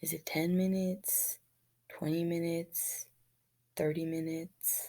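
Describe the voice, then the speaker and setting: This woman's voice sits at a fairly low pitch. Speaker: middle school health teacher and coach. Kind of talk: recorded online lesson. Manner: hesitant, many fillers and repeats.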